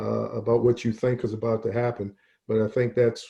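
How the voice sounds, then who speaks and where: Speaking at a fairly quick pace, this voice has an American accent and monotone, flat intonation. It is somewhat breathy. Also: man. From Baltimore, Maryland. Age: 50s. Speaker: football coach. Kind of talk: panel discussion. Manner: halting, many fillers.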